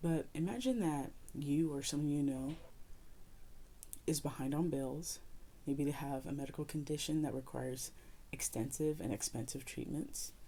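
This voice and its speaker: Soft-spoken, with a dark, mellow tone, the voice moves at a moderate pace with fairly even intonation and long, frequent pauses. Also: woman, very deep, low pitch for a woman. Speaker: YouTuber giving opinion. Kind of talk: opinion commentary video. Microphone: audio issues with mic.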